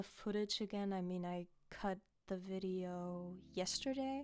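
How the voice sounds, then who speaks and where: A woman's medium-pitched voice at a very slow pace with music in the background. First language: not English. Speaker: gaming YouTuber. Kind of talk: voiceover commentary on gameplay. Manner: hesitant, many fillers.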